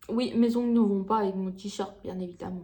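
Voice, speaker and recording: A woman at a moderate pace, fairly high in pitch and somewhat breathy. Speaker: beauty vlogger. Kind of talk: casual vlog chat to camera. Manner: hesitant, many fillers.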